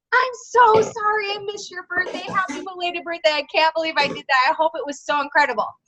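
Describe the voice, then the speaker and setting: Putting on a squeaky character voice, a woman talks at a very fast pace with an extremely high pitch. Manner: sad, apologetic.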